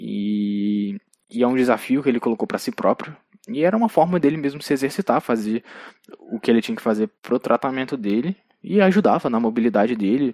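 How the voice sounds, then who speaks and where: Recorded dry and close with no echo, a man with an ordinary speaking voice talks at a fairly quick pace and medium pitch with lively intonation. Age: 20s. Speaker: podcast host. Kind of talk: solo monologue film review.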